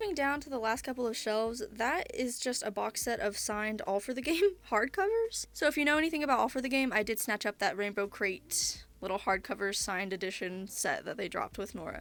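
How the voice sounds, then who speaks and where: A woman's plain, everyday voice at a fairly high pitch, with lively intonation, a fairly quick pace and hardly any pauses. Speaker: content creator. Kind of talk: casual room tour talk to camera.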